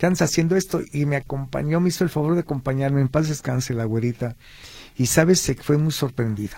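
A man with a fairly high, somewhat breathy voice speaks fairly quickly, his pitch varying in an ordinary way. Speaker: historian and cultural tour guide. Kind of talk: radio interview.

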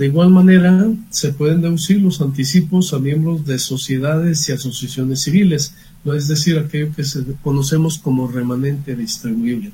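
Somewhat breathy and dark, mellow in tone, a man with a fairly high pitch speaks at a moderate pace with ordinary pitch variation. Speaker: accountant. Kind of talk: expert advice on radio.

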